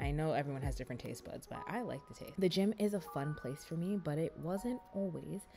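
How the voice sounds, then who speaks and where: Over music in the background, a woman talks at a fairly quick pace in an upbeat tone. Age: 20s. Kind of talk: casual vlog voice-over.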